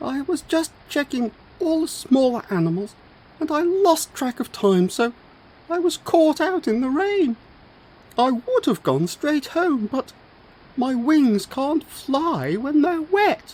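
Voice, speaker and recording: A put-on character voice with a high pitch. It moves at a fairly slow pace. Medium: read story.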